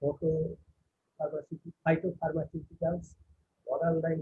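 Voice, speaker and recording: This is a man's voice. It sits high in pitch. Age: old. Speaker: professor. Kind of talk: valedictory address. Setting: webinar. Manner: halting; soft-spoken. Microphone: too quiet.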